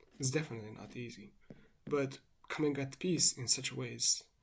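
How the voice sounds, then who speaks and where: The speaker talks at a moderate pace with a non-native accent. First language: not English. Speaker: vlogger. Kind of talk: monologue. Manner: reflective, meandering.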